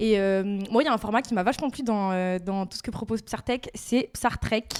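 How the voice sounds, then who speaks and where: Here a woman with a fairly high pitch speaks at a moderate pace, her pitch varying in an ordinary way. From Paris region, then Montpellier from age 12. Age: 20s. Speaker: podcast co-host. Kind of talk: casual chat. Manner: hesitant, many fillers.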